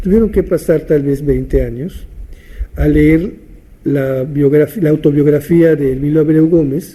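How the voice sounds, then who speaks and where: Noticeable background noise surrounds a man speaking at a fairly high pitch. His pace is fairly slow and his intonation fairly even. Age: 70s. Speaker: theatre teacher and writer. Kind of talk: interview monologue, reminiscing. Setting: at his home. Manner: halting, with repetitions and fillers.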